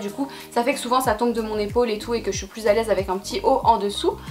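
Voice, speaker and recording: A woman's very fast speech, fairly high in pitch with ordinary variation, over noticeable background noise. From France. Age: 20s. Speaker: fashion YouTuber. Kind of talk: casual talk to camera.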